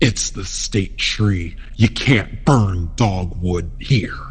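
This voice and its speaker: In a put-on character voice with a menacing tone, a man speaks fairly low at a very slow pace over noticeable background noise. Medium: read story. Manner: menacing, scornful.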